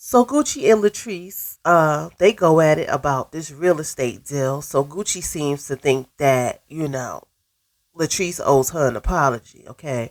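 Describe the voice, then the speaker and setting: Over a silent background on a very clean recording, a woman speaks with lively intonation at a very deep, low pitch. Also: fairly slow pace. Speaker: reality TV recap youtuber. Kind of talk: casual recap monologue.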